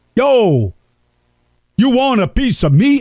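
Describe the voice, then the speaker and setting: A man's put-on character voice, extremely high in pitch, in a Brooklyn accent. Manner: confrontational, tough.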